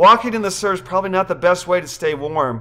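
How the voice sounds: Natural reading voice, nothing more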